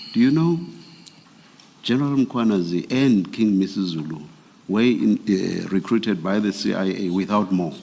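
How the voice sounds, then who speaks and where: A man with a South African accent speaks in a fairly low pitch with a dark, mellow tone and lively intonation. His pace is moderate, broken by long, frequent pauses. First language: isiXhosa. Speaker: commissioner at a public inquiry. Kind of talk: formal questioning of a witness.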